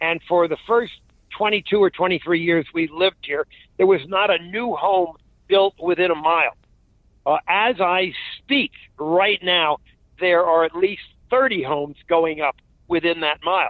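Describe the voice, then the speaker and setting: At a fairly slow pace, a man speaks with a high pitch and ordinary pitch variation. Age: 80s+. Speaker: climate policy analyst. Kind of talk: interview. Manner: halting.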